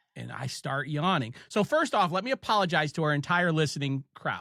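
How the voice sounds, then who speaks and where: In an Ohio accent, a bright, sharp voice with lively intonation comes through dry and close, with no echo, on a very clean recording with a silent background. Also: man. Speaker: podcast host. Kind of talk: casual chat.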